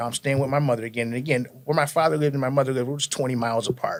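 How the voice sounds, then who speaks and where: In an American accent, a man speaks with fairly even intonation. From Connecticut, US (New Britain). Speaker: podcast guest telling life story. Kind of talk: casual interview, life testimony.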